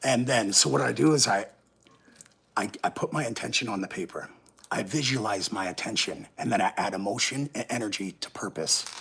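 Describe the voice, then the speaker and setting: Over noticeable background noise, a man with a Canadian accent speaks at a fairly quick pace and fairly low pitch, his intonation lively. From Canada, Hamilton, Ontario. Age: 30s. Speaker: livestreamer. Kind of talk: casual livestream monologue. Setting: livestream. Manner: halting, many fillers.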